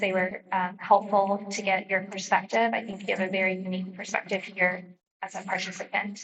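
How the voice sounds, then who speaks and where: A woman's medium-pitched voice at a fairly quick pace, monotone and flat, with audible room echo. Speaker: utility company representative. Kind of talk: public meeting remarks. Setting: public meeting hall. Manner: hesitant with many fillers.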